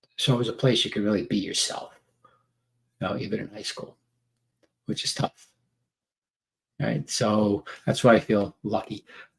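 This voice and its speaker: Long, frequent pauses break up this man's speech. He talks with a New York accent. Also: fairly low pitch for a man, ordinary pitch variation, moderate pace. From New York City (Staten Island). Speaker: men's workshop trainer. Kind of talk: casual live stream monologue. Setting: live video stream. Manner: halting, many fillers.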